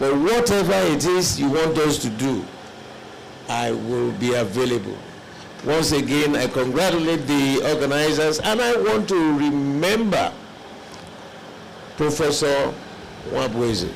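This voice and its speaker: Amid noticeable background noise and audible room echo, a man speaks at a fairly slow pace with long, frequent pauses, his fairly high pitch carrying lively intonation at a very even loudness. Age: 70s. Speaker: elder statesman, conference delegate. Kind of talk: formal speech at a conference.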